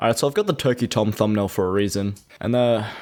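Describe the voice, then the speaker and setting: The recording is very clean, with a silent background. A man with a fairly low pitch speaks at a very fast pace. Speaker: commentary YouTuber. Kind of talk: drama commentary narration.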